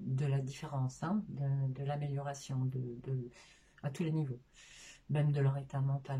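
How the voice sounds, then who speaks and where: A woman speaks at a fairly slow pace in a very deep, low pitch with a monotone, flat intonation. Her tone is dark and mellow, and somewhat breathy. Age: 50s. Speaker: sophrologist, former care assistant. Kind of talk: interview. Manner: halting, many hesitations.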